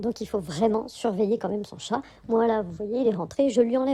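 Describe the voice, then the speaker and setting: A woman's fairly high-pitched voice with a dark, mellow tone, ordinary pitch variation and a fairly quick pace. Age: 40s. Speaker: spiritual vlogger. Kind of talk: casual vlog monologue. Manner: hesitant, many fillers.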